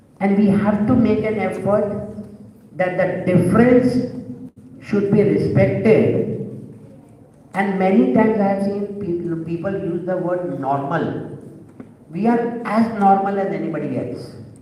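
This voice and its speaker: The speech moves at a fairly slow pace, broken by long, frequent pauses, with ordinary pitch variation. Noticeable background noise and audible room echo fill the recording. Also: man, high pitch for a man. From India, Bombay. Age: 60s. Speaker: LGBT activist, panel speaker. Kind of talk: panel talk, personal testimony.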